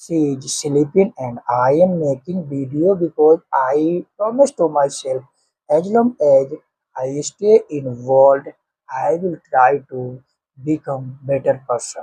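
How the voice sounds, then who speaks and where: A man with an Indian accent speaks very slowly in a somewhat breathy voice, his pitch fairly high and his tone dark and mellow, with ordinary pitch variation and a dry, close sound with no echo. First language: Hindi. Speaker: English teaching vlogger. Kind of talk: motivational talk. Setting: at home, early morning with family sleeping.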